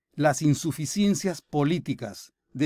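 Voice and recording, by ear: The recording is very clean, with a silent background, a dry, close sound with no echo, and a slightly mellow tone. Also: man.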